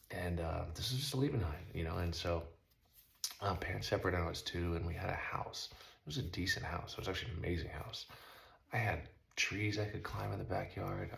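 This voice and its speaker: Audible room echo surrounds a man speaking with an American accent at a very deep, low pitch. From Southern California. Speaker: motocross rider and vlogger. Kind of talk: casual monologue. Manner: fast.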